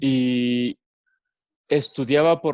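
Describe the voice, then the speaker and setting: A man speaks at medium pitch with ordinary pitch variation. It's an ordinary speaking voice, recorded dry and close with no echo. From Mexico, Los Altos de Jalisco. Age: 30s. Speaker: educator and former religious brother. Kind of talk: casual interview. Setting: video call.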